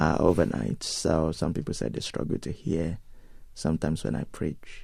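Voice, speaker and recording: With a Nigerian accent, a man speaks at a moderate pace in a dark, mellow tone with vocal fry. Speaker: pastor. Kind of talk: interview. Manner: hesitant, many fillers.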